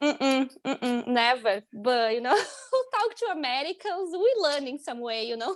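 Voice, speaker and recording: In a Brazilian accent, a woman speaks at a moderate pace with a high pitch. Her pitch swings very widely. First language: Portuguese. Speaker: international student. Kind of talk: casual interview chat.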